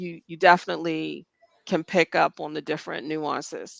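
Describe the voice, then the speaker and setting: A woman speaks with an American accent at a fairly low pitch. The sound is dry and close, with no echo. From United States. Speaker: podcast co-host. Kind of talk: casual chat.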